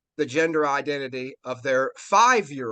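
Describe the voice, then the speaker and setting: A man with a Virginia accent speaks in an animated tone with ordinary pitch variation, his sound dry and close with no echo over a quiet background. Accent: Virginia Southern. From Virginia, US South. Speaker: interview guest. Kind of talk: casual interview chat.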